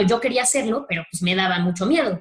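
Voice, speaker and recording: Very fast speech from a woman carries ordinary pitch variation. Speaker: speaker at a human rights training talk. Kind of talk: lecture.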